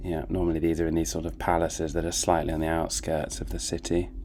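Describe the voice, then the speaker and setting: In a British accent, a man speaks with a very deep, low pitch. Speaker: gaming YouTuber. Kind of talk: casual gameplay commentary.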